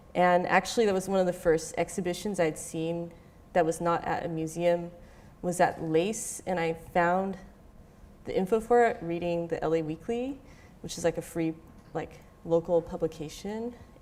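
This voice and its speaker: A woman's voice at a moderate pace, with fairly even intonation. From Southern California, Orange County. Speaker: visual artist. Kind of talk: lecture. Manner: casual, many fillers (um, like).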